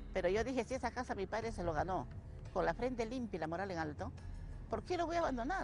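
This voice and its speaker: Over clear background music, a woman with a fairly high pitch talks at a very fast pace with very wide pitch swings, in a dry sound with no echo. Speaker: interviewee, resident. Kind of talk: interview answer. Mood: aggrieved, insistent. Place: open country. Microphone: handheld.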